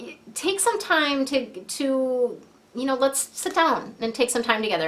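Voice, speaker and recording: A woman with a high pitch talks at a moderate pace with lively intonation over noticeable background noise. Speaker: feng shui coach and angel card reader. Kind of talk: tarot-style card reading to camera. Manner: hesitant, many fillers; softening voice.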